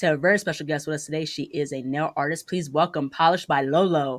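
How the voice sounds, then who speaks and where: Someone with an American accent speaks at a very fast pace on a very clean recording with a silent background. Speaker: interview host. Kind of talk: interview.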